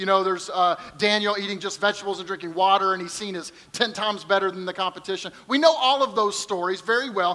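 In a raised, projected voice, a man speaks at a high pitch and a fairly quick pace over noticeable background noise. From Kentucky. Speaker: pastor. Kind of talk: sermon.

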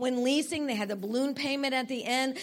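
A woman speaks in a high pitch with an animated tone. Her voice is raised and projected. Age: 60s. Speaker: conference speaker / preacher. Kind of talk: sermon.

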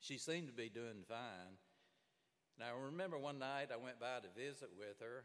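Here a man is talking at a moderate pace. His pitch varies in an ordinary way. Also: medium pitch for a man. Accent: Southern US. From Alabama. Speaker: pastor. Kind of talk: sermon. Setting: church.

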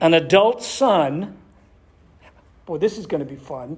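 A man with an American accent and a fairly high voice, ordinary pitch variation, and noticeable background noise. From Massachusetts, US. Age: 60s. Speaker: pastor. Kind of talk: sermon. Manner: animated.

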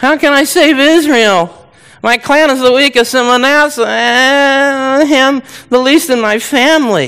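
A whiny, put-on character voice, high in pitch, delivers its lines at a fairly slow pace. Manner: whiny, self-doubting.

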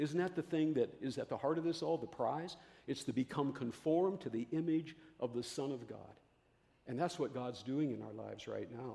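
A man speaks at a fairly quick pace in a fairly high pitch, his tone dark and mellow with vocal fry and ordinary pitch variation. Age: 70s. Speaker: pastor. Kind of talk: sermon. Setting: church.

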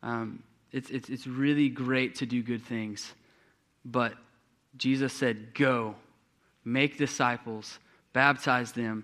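A man with an American accent speaks very slowly in a flat monotone, with long, frequent pauses. His medium-pitched voice has a bright, sharp tone, and the recording is very clean with a silent background. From East Texas. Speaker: youth pastor. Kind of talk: sermon. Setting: church.

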